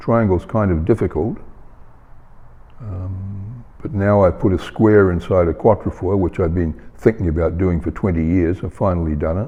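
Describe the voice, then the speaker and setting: In a New Zealand accent, a man with a very deep, low pitch speaks at a moderate pace with ordinary pitch variation. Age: 80s+. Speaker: painter. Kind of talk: interview. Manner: halting, many fillers.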